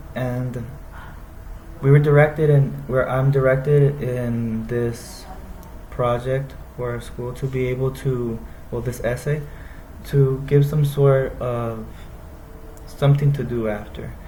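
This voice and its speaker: With an American accent, a man of medium pitch speaks in a monotone, flat way at a very slow pace with long, frequent pauses, over noticeable background noise and audible room echo. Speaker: university student. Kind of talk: class presentation. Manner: halting.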